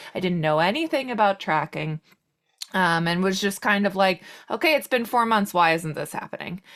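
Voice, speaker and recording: A woman with an American accent, medium pitch, lively intonation and moderate pace on a very clean recording with a silent background. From Long Island, New York. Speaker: podcast guest sharing fertility journey. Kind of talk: personal testimony in interview. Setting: podcast interview.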